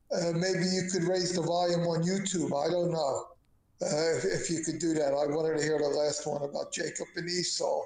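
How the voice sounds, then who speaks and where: A man speaks at a high pitch and a moderate pace, his intonation monotone and flat. His loudness stays very even, and noticeable background noise is present. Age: 70s. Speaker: stream participant. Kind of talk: casual chat. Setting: Discord voice call.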